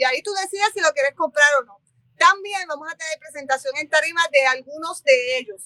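The voice is raised and projected, with a bright, sharp tone and ordinary pitch variation. It moves at a fairly quick pace in a dry, close sound with no echo. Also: woman. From Puerto Rico, Barranquitas. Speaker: bookshop owner and literary fair organizer. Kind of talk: interview.

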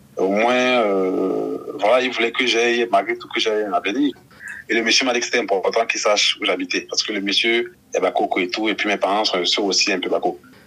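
Noticeable background noise can be heard. Through it, a man talks at a moderate pace. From Cameroon. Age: 30s. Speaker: NGO outreach worker. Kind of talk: interview testimony.

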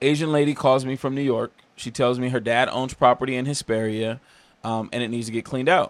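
Using a normal speaking voice, a man speaks fairly quickly with a medium pitch and fairly even intonation. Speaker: entrepreneur. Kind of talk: casual chat.

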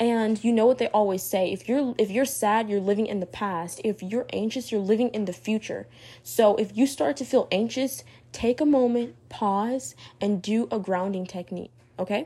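A woman with a fairly high pitch speaks at a moderate pace in a somewhat breathy, dark, mellow tone. Her pitch varies in an ordinary way, and the recording is very clean with a silent background. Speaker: solo podcast host on mental health. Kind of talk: casual monologue advice talk. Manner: hesitant, many fillers.

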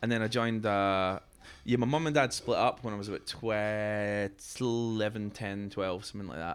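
A man's fairly low voice in a Scottish accent, at a moderate pace with ordinary pitch variation. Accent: Scottish brogue. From Scotland, Fife. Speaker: musician. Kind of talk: casual chat. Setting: stage with audience.

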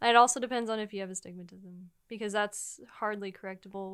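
At a fairly quick pace, a woman speaks at a medium pitch in a flat, monotone way. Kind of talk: casual banter.

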